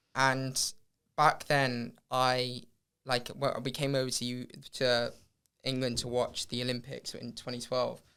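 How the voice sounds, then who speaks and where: A man's medium-pitched, bright, sharp voice, monotone and flat, fairly slow with long, frequent pauses. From Hong Kong. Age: 20s. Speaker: professional runner. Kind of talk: podcast interview.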